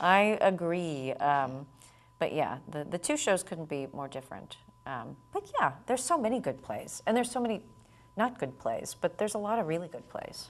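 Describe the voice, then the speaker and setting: A woman with a fairly low pitch speaks with very wide pitch swings. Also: moderate pace. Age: young. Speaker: actress. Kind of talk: interview. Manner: halting.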